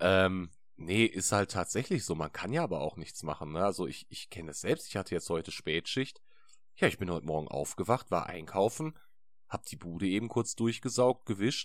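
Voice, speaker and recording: A man with a very deep, low pitch talks at a moderate pace with lively intonation. His loudness swings widely. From Ruhr area, Essen. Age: 20s. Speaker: podcast co-host. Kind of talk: casual chat. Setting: video call.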